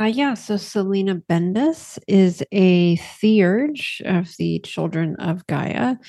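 A woman's voice sounding dry and close, with no echo at all. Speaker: tabletop roleplaying game player. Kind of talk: actual-play roleplaying game session.

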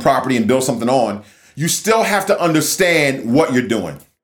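Swinging very widely in pitch, a man speaks at a fairly quick pace. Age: 40s. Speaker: real estate agent and podcast host. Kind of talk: casual monologue.

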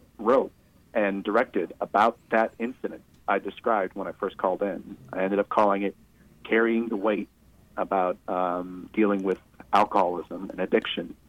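An ordinary speaking voice with an American accent comes through at a moderate pace and fairly even intonation, with a dry, close sound and no echo. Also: man. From Michigan, US. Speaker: caller in recovery, filmmaker. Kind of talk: phone-in conversation.

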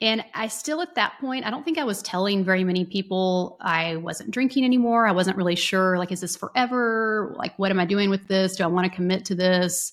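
Very clean recording, silent background, an unremarkable speaking voice. A woman with an American accent talks at medium pitch and a fairly quick pace. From North Texas. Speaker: psychotherapist and podcast co-host. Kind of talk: casual chat.

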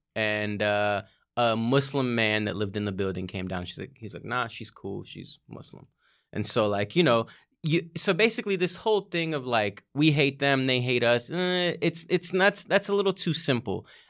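A man's medium-pitched voice with an American accent, very wide pitch swings and a moderate pace, in a very clean recording against a silent background. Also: big swings in loudness. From Azerbaijan, raised in Erie, Pennsylvania. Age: 30s. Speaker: comedian. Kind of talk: casual chat.

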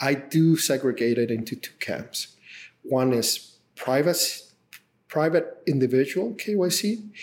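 A man speaks in a fairly high pitch. He has a Spanish accent. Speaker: tech company CEO. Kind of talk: interview.

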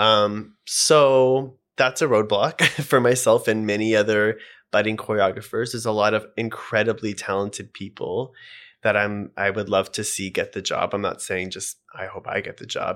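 On a very clean recording with a silent background, a man talks at a moderate pace in a fairly low pitch with fairly even intonation. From Canada, Edmonton, Alberta. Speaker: choreographer and dancer. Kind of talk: casual interview chat.

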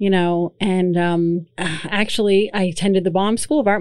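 Speaking with an American accent, a woman has an ordinary speaking voice at medium pitch, a moderate pace and fairly even intonation. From eastern Pennsylvania (Lehigh Valley). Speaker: art administrator. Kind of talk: interview.

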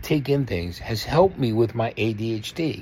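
A man's very slow delivery. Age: 60s. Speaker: podcast host. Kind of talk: casual monologue. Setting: solo recording. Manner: rambling run-on delivery.

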